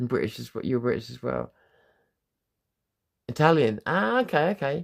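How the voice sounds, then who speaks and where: A man with a southern English accent speaks at a moderate pace in a relaxed tone, with big swings in loudness. The recording is very clean, with a silent background. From southern England. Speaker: livestreamer. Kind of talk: casual chat. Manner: relaxed, rambling with fillers.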